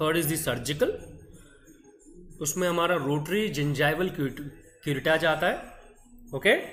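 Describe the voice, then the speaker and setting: With an Indian accent, a man speaks at a fairly high pitch with ordinary pitch variation and long, frequent pauses, as music plays in the background amid audible room echo. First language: Hindi. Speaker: dental lecturer. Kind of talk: online lecture. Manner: slow; code-switching Hindi-English.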